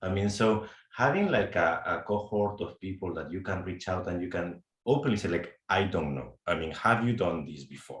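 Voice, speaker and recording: A man with a very deep, low voice and a Spanish accent talks at a moderate pace. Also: ordinary pitch variation. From Spain. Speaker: HR executive, program alumnus. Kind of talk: panel discussion. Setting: webcast.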